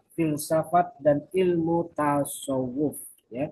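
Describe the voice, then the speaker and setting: A man talks here with a fairly high pitch. His intonation stays fairly even. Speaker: university lecturer. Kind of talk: recorded lecture.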